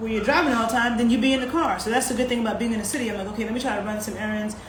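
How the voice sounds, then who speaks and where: A woman speaks with a fairly high pitch and fairly even intonation. Audible room echo and noticeable background noise surround her voice. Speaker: sports nutritionist hosting a live stream. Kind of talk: casual live-stream talk answering viewers. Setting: live stream on social media. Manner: conversational with many fillers.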